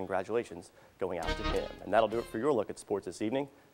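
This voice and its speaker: Music plays in the background as a man speaks at a very fast pace. His pitch is fairly low, with ordinary variation. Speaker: sports anchor. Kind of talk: local TV sports news anchor read.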